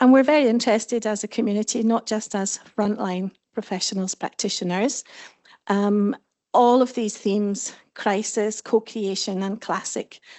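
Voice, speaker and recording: A woman with a fairly high pitch and fairly even intonation. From Scotland. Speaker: panel moderator, head of professional association. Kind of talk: conference panel moderation. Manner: fast.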